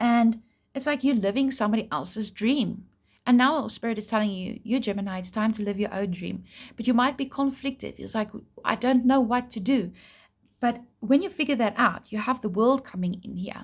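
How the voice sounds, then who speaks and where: A woman's fairly high, somewhat breathy voice with ordinary pitch variation, on a very clean recording with a silent background. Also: moderate pace. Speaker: tarot reader. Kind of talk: tarot reading. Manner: casual, chatty; stutter.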